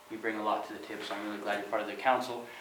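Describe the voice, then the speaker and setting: A man with an American accent speaks over noticeable background noise, with audible room echo. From Goldendale, Washington, US Pacific Northwest. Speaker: citizen speaking at public comment. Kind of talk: public comment at city council meeting. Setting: city council meeting room. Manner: halting, with fillers and repetitions.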